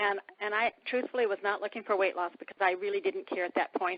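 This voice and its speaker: In a plain, everyday voice, a woman speaks at a fairly quick pace, medium in pitch with ordinary pitch variation. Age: 60s. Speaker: weight-loss product distributor sharing testimony. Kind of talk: testimony. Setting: phone call.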